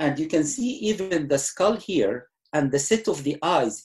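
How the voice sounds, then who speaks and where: A man with an Egyptian accent speaks at a fairly slow pace. He is somewhat breathy, with very wide pitch swings. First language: Arabic. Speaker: retired surgeon. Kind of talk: lecture talk answering host.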